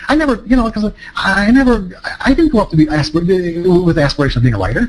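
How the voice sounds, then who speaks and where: A man speaks with very wide pitch swings. Noticeable background noise runs under him. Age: 60s. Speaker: trading psychology author and speaker. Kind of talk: seminar talk to a live audience. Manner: halting, many fillers and restarts.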